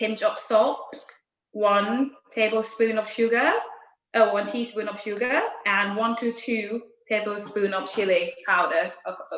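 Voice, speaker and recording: A woman with a Thai accent speaks at a fairly slow pace with a fairly high pitch. Her intonation is fairly even, broken by long, frequent pauses. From Thailand, Bangkok. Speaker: chef. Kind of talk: cooking tutorial.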